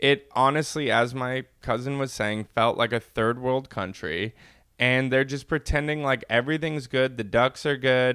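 A man with an American accent speaks at a moderate pace and medium pitch in a bright, sharp tone with ordinary pitch variation, on a very clean recording with a silent background. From California, Inland Empire. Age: young. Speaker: podcast co-host. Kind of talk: casual chat.

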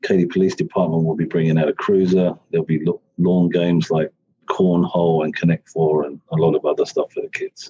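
Recorded with a dry, close sound and no echo, a man speaks at a fairly quick pace. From UK. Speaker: company CFO and race sponsor. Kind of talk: casual interview.

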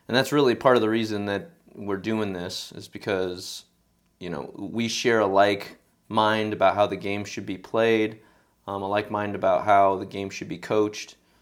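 In a very clean recording with a silent background, a man with an unremarkable speaking voice talks at a moderate pace in a fairly low pitch, his intonation fairly even but his loudness swinging widely. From Sacramento, California, US. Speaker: podcast host and amateur soccer coach. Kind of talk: casual chat.

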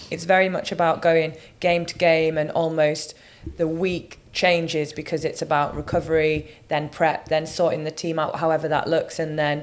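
A woman speaks at a moderate pace in a very deep, low voice. Her intonation is monotone and flat. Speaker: international women's rugby player. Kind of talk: casual podcast interview.

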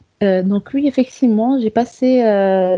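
Talking at a fairly slow pace, a woman uses ordinary pitch variation. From Comoros. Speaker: software developer. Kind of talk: interview. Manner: hesitant, many fillers.

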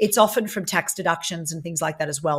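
The voice comes with an Australian accent on a very clean recording with a silent background. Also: woman. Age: 40s. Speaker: property investor. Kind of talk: interview.

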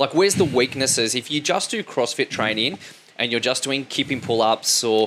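A man speaks at a moderate pace in an Australian accent. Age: 30s. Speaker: podcast host, fitness. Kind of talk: interview.

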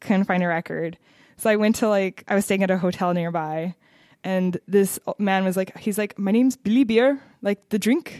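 With an American accent and a normal speaking voice, a woman talks at medium pitch and a moderate pace with ordinary pitch variation, the sound dry and close with no echo on a very clean recording over a silent background. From US Pacific Northwest, Seattle. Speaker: podcast host. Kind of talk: casual interview.

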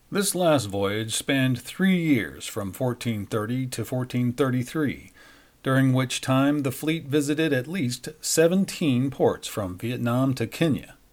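On a very clean recording with a silent background, a man talks at a very slow pace. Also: medium pitch for a man, ordinary pitch variation. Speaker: news anchor and podcast host. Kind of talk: history documentary narration, scripted. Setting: studio podcast. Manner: measured, formal, steady; even-paced, authoritative storytelling.

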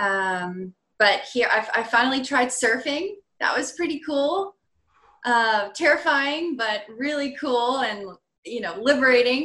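Her voice is high-pitched with a bright, sharp tone and lively intonation. The woman speaks at a fairly slow pace with an American accent. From Virginia, US. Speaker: perfusionist. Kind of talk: casual interview.

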